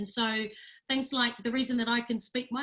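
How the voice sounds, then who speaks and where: Her tone bright and sharp, a woman speaks at a moderate pace in a fairly high pitch with monotone, flat intonation. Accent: New Zealand. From New Zealand, Rotorua. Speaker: data organisation chief executive. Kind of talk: webinar presentation.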